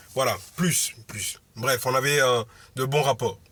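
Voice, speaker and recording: A man speaks loudly at a medium pitch with a bright, sharp tone. His intonation stays fairly even. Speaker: motivational vlogger. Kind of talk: casual monologue vlog. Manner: halting, many fillers.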